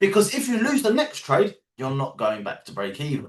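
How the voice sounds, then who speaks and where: With a London accent, a man speaks at a fairly quick pace in an animated, passionate tone, his pitch swinging very widely. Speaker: trading educator. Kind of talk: live online training call.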